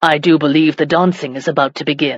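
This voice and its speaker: A put-on character voice growls at a middle pitch. The pace is fairly quick. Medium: read story. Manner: smooth, courteous.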